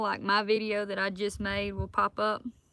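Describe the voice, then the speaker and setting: Speaking with a Southern US accent, a woman keeps a moderate pace. Her pitch sits fairly high. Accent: Southern US accent, noticeable. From South Alabama. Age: 20s. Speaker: outdoors hunting and fitness content creator. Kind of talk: live stream chat reading comments.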